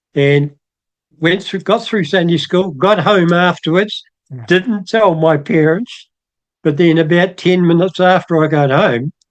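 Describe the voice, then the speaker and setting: With a New Zealand accent, a man talks at a fairly slow pace in a high-pitched voice, with ordinary pitch variation and very even loudness. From New Zealand, Otago. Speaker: church member. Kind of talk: testimony.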